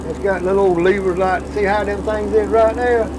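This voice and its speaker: A man at a moderate pace with a Southern US accent, audible room echo and noticeable background noise. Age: 70s. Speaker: shrimp boat captain. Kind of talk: casual chat.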